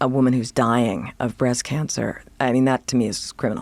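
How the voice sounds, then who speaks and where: This woman has a very deep, low pitch and an American accent. She talks at a fairly quick pace. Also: very clean recording, silent background. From US Northeast, suburbs of Boston. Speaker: journalist and author. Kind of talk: podcast interview. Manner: fast.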